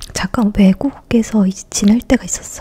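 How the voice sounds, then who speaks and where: Someone whispers at a very slow pace. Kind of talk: ASMR eating and casual chat. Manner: soft-spoken, less whispered.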